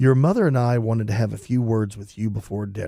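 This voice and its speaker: A man talks at a very fast pace in a put-on character voice. His pitch is medium and his intonation fairly even. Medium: read story. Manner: calm, pleasant.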